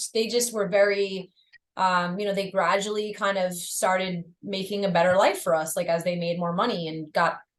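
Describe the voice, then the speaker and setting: With monotone, flat intonation, a woman speaks at a moderate pace and medium pitch. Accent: American. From Long Island, New York. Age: 30s. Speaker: metal drummer and model. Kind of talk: casual interview chat.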